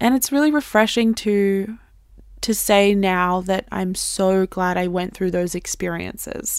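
A woman with a normal speaking voice of medium pitch and ordinary pitch variation speaks at a fairly slow pace on a very clean recording with a silent background. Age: 20s. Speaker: podcast host. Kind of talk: casual chat.

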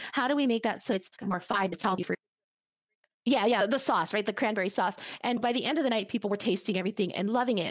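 Recorded very cleanly against a silent background, a woman talks in an ordinary speaking voice, fairly high in pitch with lively intonation. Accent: American. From United States, Cuban family. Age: 40s. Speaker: nonprofit CEO. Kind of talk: interview.

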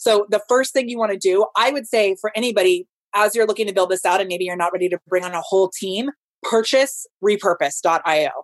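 At a fairly quick pace, the speaker sounds animated, with ordinary pitch variation and a dry, close sound with no echo. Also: woman, medium pitch for a woman. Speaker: digital growth strategist and former stage performer. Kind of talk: casual interview chat. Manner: fast.

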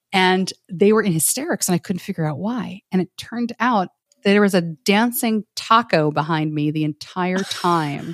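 Recorded very cleanly with a silent background and a dry, close sound with no echo, a woman with an American accent has a plain, everyday voice at a medium pitch, speaking at a moderate pace with ordinary pitch variation. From New York. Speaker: podcaster and former TV journalist. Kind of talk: casual interview chat.

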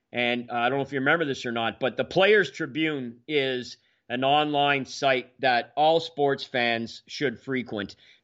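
Against a quiet background, a man with a Canadian accent talks in a normal speaking voice with ordinary pitch variation and hardly any pauses. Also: medium pitch for a man, fairly slow pace. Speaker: hockey podcast co-host. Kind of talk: casual chat.

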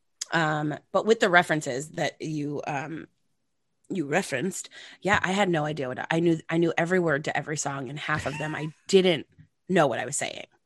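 Speaking at a fairly quick pace, a woman with a very deep, low pitch and ordinary pitch variation is heard in a dry, close sound with no echo. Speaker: actress and cabaret singer. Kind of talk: casual chat. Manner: animated.

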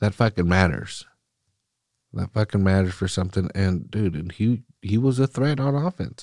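Recorded very cleanly against a silent background, with a dry, close sound and no echo, a man speaks at a moderate pace in a fairly low pitch. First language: Spanish. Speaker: solo soccer podcast host. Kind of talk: casual chat. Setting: studio. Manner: animated.

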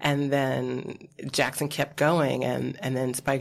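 Vocal fry runs through this voice with an American accent. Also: woman. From US Midwest. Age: 50s. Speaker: film and TV producer. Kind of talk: casual chat.

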